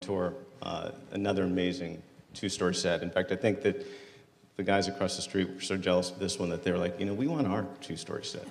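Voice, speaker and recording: Here a man speaks with a very deep, low pitch. His pace is fairly quick, with ordinary pitch variation. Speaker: panel moderator. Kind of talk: panel introduction. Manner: loud.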